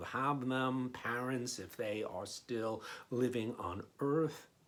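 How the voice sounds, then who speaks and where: The man talks at a very slow pace and a medium pitch. There is audible room echo. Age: 60s. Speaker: pastor. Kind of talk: sermon. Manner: conversational, frequent fillers and repetitions.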